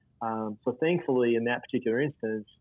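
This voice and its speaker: A man talks with an Oklahoma accent. His pitch is medium. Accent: Oklahoma Southern US. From US South, northeast Oklahoma. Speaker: church planter trainer. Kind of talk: casual interview.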